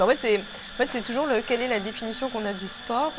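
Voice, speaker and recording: A woman at a very fast pace amid noticeable background noise. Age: 30s. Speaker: sports blogger and photographer. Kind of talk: casual interview.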